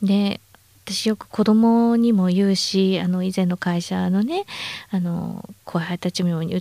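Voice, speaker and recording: A woman's medium-pitched voice with a dark, mellow tone, fairly even intonation and a fairly slow pace. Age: 50s. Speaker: supplement company manager. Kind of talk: interview.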